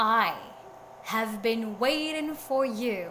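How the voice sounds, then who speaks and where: Amid clear background noise, a woman puts on a character voice at a fairly high pitch. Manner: wise, solemn.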